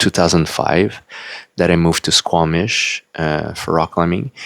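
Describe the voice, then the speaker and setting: A man speaks with a French-Canadian accent. His voice is very deep and low. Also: dry, close sound with no echo. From Quebec, Canada. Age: 40s. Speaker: YouTuber and self-published author. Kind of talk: casual unedited vlog monologue. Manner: halting, many fillers.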